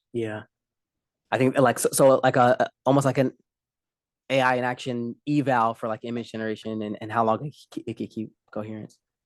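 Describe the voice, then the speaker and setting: A man with a slight Southern US accent talks at a fairly quick pace and a medium pitch, with monotone, flat intonation. He leaves long, frequent pauses, and the sound is dry and close with no echo. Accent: slight Southern twang. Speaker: developer presenting demo. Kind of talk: casual tech demo chat. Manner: hesitant, many fillers.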